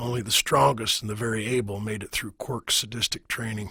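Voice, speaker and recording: In a put-on character voice, a man speaks raspy at a medium pitch, at a fairly quick pace with fairly even intonation. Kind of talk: audiobook narration. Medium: read story. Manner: measured, wry storytelling.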